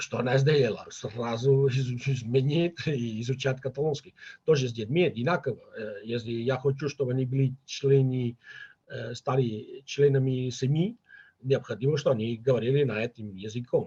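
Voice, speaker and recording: In a Catalan accent, a man speaks at a moderate pace in a medium-pitched, somewhat breathy voice with a dark, mellow tone. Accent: Catalan accent in Russian. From Catalonia, Spain. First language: Catalan (speaking Russian). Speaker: linguist, father of bilingual children. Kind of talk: interview conversation. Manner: halting, many fillers.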